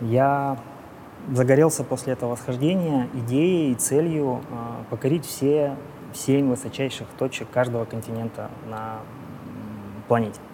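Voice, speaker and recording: Noticeable background noise runs under the speech. The intonation stays fairly even, broken by long, frequent pauses. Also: man, medium pitch for a man, fairly slow pace. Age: 40s. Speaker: business executive and amateur triathlete. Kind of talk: casual chat.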